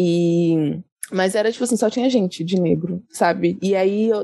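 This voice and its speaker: Dark, mellow tone from a woman at medium pitch. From São Paulo state, Brazil (Osasco, Jundiaí). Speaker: English teacher and writer. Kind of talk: casual interview. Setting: remote call from California.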